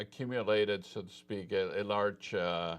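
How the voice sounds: A man speaks at a fairly slow pace. His tone is clear and smooth.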